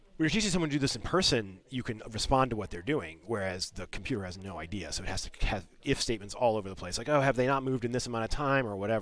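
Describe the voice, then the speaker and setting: Talking at a very fast pace with hardly any pauses, a man uses lively intonation at a medium pitch. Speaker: game developer. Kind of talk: live-streamed design commentary. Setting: live stream. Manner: casual, filler-heavy.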